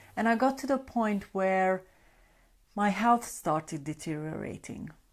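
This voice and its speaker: On a very clean recording with a silent background, a woman with a Hungarian accent speaks fairly slowly at medium pitch with lively intonation. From Hungary. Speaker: sleep coach. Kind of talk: live stream talk. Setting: Facebook Live broadcast. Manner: conversational.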